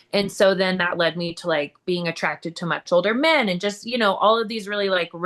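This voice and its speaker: The woman's pitch sits in the medium range, with ordinary variation, as she talks at a fairly quick pace. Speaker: recovering addict and entrepreneur. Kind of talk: interview testimony. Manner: loud.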